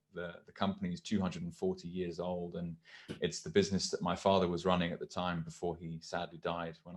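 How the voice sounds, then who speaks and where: Against a quiet background, a man with a British accent and a very deep, low pitch talks at a fairly quick pace. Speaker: podcast host. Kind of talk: show introduction; casual chat.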